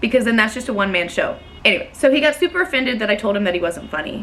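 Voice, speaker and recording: An animated woman with an American accent, fairly high in pitch with ordinary pitch variation, over noticeable background noise. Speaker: storyteller vlogger. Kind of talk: casual storytelling. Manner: loud.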